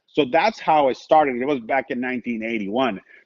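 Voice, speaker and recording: Speaking at a moderate pace, a man uses an animated tone. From Mexico, Tijuana. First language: Spanish. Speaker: sports radio broadcaster. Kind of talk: casual chat.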